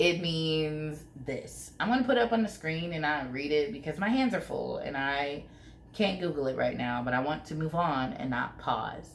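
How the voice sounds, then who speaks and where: A woman with a very deep, low pitch talks at a moderate pace in an animated tone with lively intonation, over noticeable background noise and audible room echo. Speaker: YouTuber. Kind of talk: casual vlog commentary.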